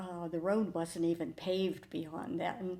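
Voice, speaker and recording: A woman with a Midwestern US accent, a dark, mellow tone and fairly low pitch, speaking fairly slowly with fairly even intonation. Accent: US Midwest. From Ohio. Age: 80s+. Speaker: church member. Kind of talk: testimony.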